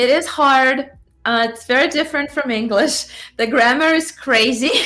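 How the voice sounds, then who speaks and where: A woman's raised, projected voice, bright and sharp in tone and high in pitch, with ordinary pitch variation, big swings in loudness and a moderate pace. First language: Russian. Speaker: cosplayer and fan film actress. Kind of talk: casual chat.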